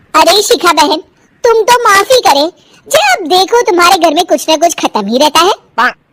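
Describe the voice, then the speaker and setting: In a put-on character voice, a woman shouts at an extremely high pitch with very wide pitch swings. Her loudness stays very even, and the sound is dry and close with no echo. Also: moderate pace. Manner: shouting angrily.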